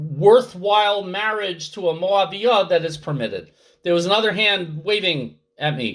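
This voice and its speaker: Someone speaks loudly at a fairly slow pace. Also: man. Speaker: Torah teacher. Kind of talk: online class.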